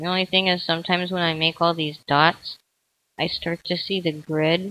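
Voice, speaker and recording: A woman's voice in a monotone, flat intonation. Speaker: let's play drawing video creator. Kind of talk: casual commentary while drawing.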